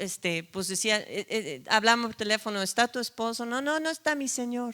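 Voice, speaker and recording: Bright and sharp in tone, a woman with a non-native accent speaks at a fairly high pitch with lively intonation, recorded very cleanly against a silent background. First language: not Spanish (speaking Spanish). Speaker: preacher. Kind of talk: sermon.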